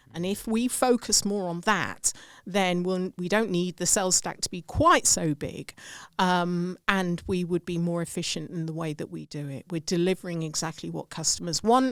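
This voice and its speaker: At a moderate pace, the speaker talks with an English accent in a very clean recording with a silent background. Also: woman. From England. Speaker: sales and customer growth expert. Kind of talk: podcast interview.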